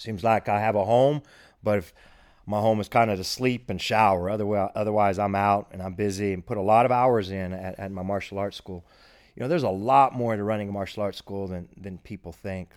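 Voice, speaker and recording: A man's fairly low voice with a Texan accent, fairly quick and fairly even in intonation, with big swings in loudness, in a very clean recording with a silent background. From Texas, Abilene. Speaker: martial arts instructor. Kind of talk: podcast monologue. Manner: casual.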